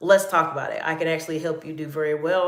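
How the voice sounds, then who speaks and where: With audible room echo, a woman speaks very fast in a very deep, low voice with a Southern US accent. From US South, North Carolina. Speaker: executive coach. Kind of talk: live Q&A stream.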